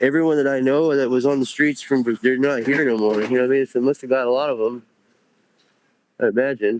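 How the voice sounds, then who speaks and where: Fast as he goes, a man with an American accent and a medium pitch still leaves long, frequent pauses, keeping his intonation fairly even. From Houston, Texas. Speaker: person recovering from addiction. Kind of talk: interview answer. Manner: casual, hesitant.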